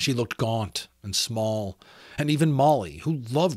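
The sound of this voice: With ordinary pitch variation, the delivery is an unforced reading voice.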